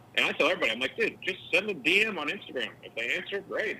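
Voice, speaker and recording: A man in an American accent at a very fast pace, over noticeable background noise. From US Midwest, Ohio. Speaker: retired pro golfer and podcaster. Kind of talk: casual interview chat.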